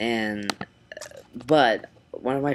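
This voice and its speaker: A man's fairly even intonation over noticeable background noise. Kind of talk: casual vlog. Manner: halting, many ums.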